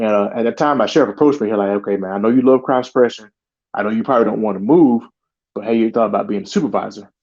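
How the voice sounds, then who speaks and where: Very fast speech from a man, with a medium pitch and ordinary pitch variation. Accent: American. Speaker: sheriff's deputy. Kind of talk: interview storytelling.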